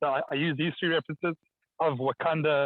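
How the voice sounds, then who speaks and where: The speaker has a strong South African accent. The pace is fairly quick. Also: man. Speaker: architect and community engagement practitioner. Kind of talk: online presentation. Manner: fast; hesitant, many fillers and repetitions.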